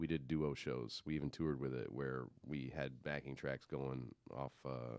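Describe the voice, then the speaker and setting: With a very deep, low pitch, a man talks at a fairly slow pace in a monotone, flat way, with hardly any pauses. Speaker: musician and audio engineer. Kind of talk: casual chat.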